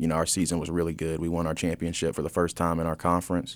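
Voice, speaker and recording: A man with an American accent talks at a very fast pace. His very deep, low voice holds a monotone, flat intonation. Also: very clean recording, silent background. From US South, Fort Mill, South Carolina. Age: 20s. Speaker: college student and alumni office intern. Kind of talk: casual interview. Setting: radio studio.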